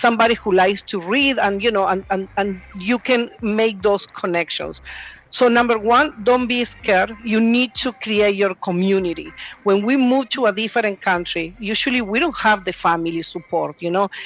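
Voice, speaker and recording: A woman with a Spanish accent speaks at a moderate pace in a medium-pitched voice. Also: ordinary pitch variation. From Puerto Rico. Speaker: real estate agent. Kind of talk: panel Q&A.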